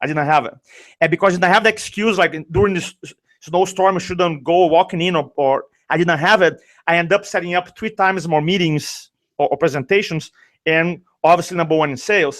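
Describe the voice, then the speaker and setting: A man with a Brazilian accent and a high pitch, at a fairly quick pace. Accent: Brazilian accent, noticeable. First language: Portuguese. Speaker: sales and speaking coach. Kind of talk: interview storytelling. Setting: live video show. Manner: animated.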